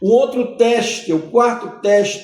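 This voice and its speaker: A man speaking at a very slow pace. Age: 60s. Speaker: pastor. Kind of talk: sermon-style podcast teaching.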